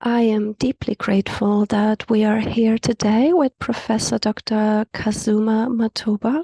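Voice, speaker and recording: With hardly any pauses, a woman speaks slowly-ish at a fairly high pitch, somewhat breathy and dark, mellow in tone, with fairly even intonation and a dry, close sound with no echo. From South Africa. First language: Afrikaans. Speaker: community call facilitator. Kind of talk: guided meditation; event introduction. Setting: video call.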